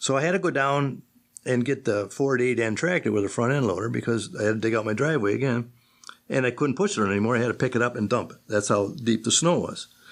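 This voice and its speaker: In a Western New York accent, this voice moves at a very fast pace with very even loudness and ordinary pitch variation. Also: man, medium pitch for a man. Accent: Western New York (Inland North) American. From western New York, Akron. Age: 70s. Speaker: retired machinist. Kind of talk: oral history interview. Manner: conversational storytelling, with many false starts.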